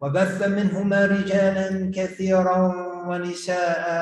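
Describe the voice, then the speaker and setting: A man's high-pitched, flat monotone voice, with audible room echo. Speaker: imam. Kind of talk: sermon. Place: church.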